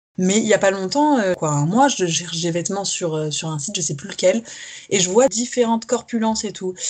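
Lively intonation marks this woman's an ordinary speaking voice, delivered at a fairly quick pace with a medium pitch. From France, Paris region and south-west. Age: 20s. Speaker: fashion model. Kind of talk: casual interview chat.

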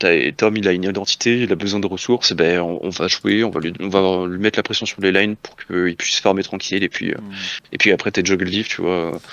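A man with a very deep, low pitch, fairly even intonation and a fairly quick pace, with hardly any pauses. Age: 20s. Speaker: esports coach. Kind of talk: casual interview. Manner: halting.

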